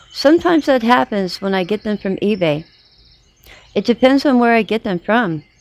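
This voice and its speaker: Over noticeable background noise, a woman talks at a moderate pace with a fairly high pitch and very wide pitch swings, the sound dry and close with no echo. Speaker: gardening vlogger. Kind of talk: casual tutorial vlog. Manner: strained, trying to project; hesitant, many fillers.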